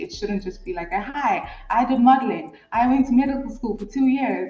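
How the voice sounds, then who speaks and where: A woman speaks with a South African accent and lively intonation at a moderate pace. Music plays behind her. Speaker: guest reality show reviewer. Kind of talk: casual chat.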